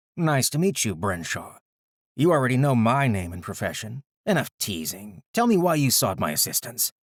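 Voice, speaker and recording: A growling, put-on character voice swings very widely in pitch at a moderate pace. The sound is dry and close, with no echo. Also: man, medium pitch for a man. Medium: read story. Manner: snarky.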